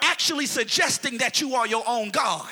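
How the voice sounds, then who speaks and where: A man speaks in a raised, projected voice, his tone animated, bright and sharp. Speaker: preacher. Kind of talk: sermon preached live to a responding congregation. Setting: church with congregation. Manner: animated, call-and-response, pulpit-style exhortation with rising intensity; rhetorical, repeating phrases for emphasis, with humor.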